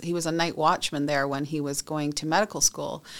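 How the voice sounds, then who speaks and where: Her pitch is very deep and low, with fairly even intonation. The woman speaks in a Western Canadian accent. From British Columbia, Canada. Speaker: industry association executive. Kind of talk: interview.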